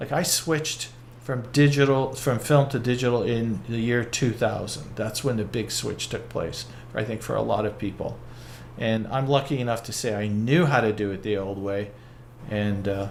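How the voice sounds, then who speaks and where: Here a man speaks at a medium pitch. Audible room echo surrounds his voice. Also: ordinary pitch variation, moderate pace. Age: 60s. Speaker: photographer. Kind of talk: casual chat.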